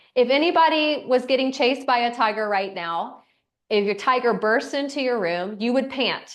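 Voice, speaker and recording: A woman speaks in a high pitch. Her pitch varies in an ordinary way. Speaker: breathwork instructor. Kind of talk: guided breathing class. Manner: slow.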